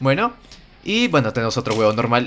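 A man speaks in an animated tone. Noticeable background noise can be heard. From Peru. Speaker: gaming youtuber. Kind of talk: gameplay commentary.

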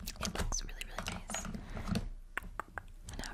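The speaker is a woman. Her words come out as a whisper. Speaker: makeup artist roleplay. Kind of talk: ASMR personal attention roleplay. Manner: whispered, soft. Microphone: studio mic.

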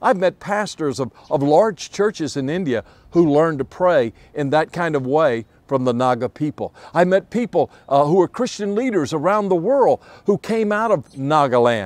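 With very wide pitch swings, a man speaks at a fairly high pitch over a quiet background. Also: moderate pace. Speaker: evangelist preacher. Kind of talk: sermon-style devotional talk. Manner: earnest, urgent preacher in full flow; repetitive, emphatic, with restarts.

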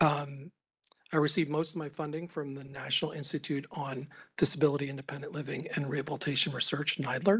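Fairly high in pitch, a man speaks at a fairly quick pace with fairly even intonation. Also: quiet background. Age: 50s. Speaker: economics professor. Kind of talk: conference presentation. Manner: halting. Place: meeting room. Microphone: podium.

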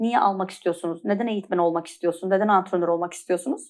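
The woman's voice comes through a very clean recording with a silent background. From Turkey, Antalya. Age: 40s. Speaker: pilates trainer. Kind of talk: interview, personal testimony.

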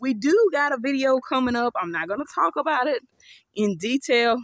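Her pace is moderate. The woman's pitch shifts by ordinary amounts.

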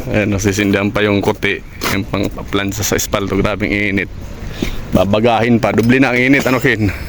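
Noticeable background noise surrounds a man with a fairly low pitch. His pace is fairly quick and his intonation fairly even. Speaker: vlogger and road construction worker. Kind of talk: casual vlog narration. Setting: outdoors at a road work site.

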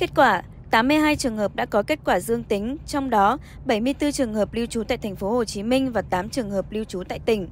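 A woman's ordinary speaking voice at a moderate pace, with fairly high pitch and ordinary pitch variation. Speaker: news reader. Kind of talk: news reading. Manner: formal.

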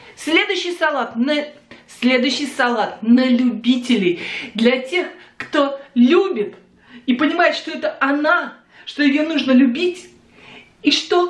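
Audible room echo fills the recording. The speech moves at a very slow pace. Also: woman. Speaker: home video blogger. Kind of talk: casual vlog chat, bloopers. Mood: playful, laughing, joking. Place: kitchen. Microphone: phone near.

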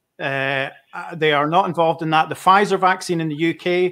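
Bright and sharp in tone, a man speaks at a fairly high pitch with fairly even intonation. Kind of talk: casual panel Q&A discussion. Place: home room.

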